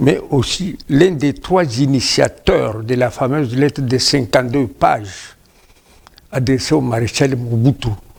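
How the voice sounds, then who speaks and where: Somewhat breathy, a man speaks at a very slow pace and medium pitch with ordinary pitch variation. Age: 70s. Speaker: veteran politician, party founder. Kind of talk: TV interview. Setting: TV studio.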